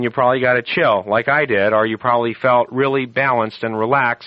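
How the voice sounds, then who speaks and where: Fairly quick speech from a man, medium in pitch, with ordinary pitch variation. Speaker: radio astrologer host. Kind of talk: radio talk show. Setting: radio studio. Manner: hypnotic.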